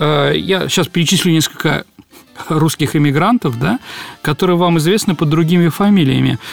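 A man speaks at a moderate pace with ordinary pitch variation. His voice sits fairly high for a man. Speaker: historian, radio show host. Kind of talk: casual radio talk about history. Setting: radio studio.

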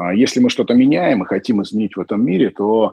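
This man talks at a fairly quick pace, his medium pitch swinging very widely. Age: 30s. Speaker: event company founder. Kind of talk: monologue interview.

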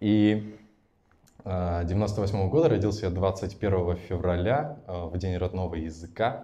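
Very slow and very deep, a man's dark, mellow voice shows ordinary pitch variation. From Russia, Tatarstan (Naberezhnye Chelny). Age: 20s. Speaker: entrepreneur and podcast host. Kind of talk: personal life story told to a live audience. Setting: event with live audience. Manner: casual, improvised.

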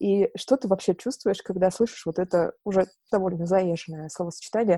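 Recorded very cleanly against a silent background, with a dry, close sound and no echo, the voice has a dark, mellow tone, a moderate pace and ordinary pitch variation. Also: woman. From Novorossiysk, southern Russia. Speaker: podcast interviewer. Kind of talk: interview, conversational.

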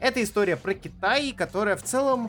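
An animated man's voice over music in the background. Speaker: comics podcast co-host. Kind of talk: casual chat.

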